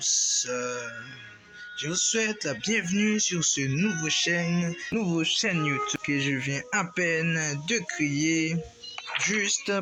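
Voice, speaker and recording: A man's high-pitched voice at a very slow pace, with ordinary pitch variation, over noticeable background noise. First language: not French (speaking French). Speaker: gaming YouTuber. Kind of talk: gameplay tutorial. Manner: halting.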